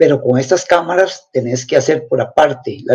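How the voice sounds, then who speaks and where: This voice belongs to a man. It has a somewhat breathy quality. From Costa Rica, Turrialba. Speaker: astrophotographer. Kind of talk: interview. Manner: halting.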